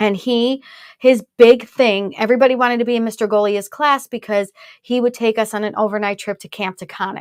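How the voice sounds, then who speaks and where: A woman's fairly high voice at a fairly quick pace, dry and close with no echo, in a very clean recording over a silent background. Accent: American. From Brooklyn, New York. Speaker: whiskey show co-host. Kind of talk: casual live-stream tasting chat. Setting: live stream.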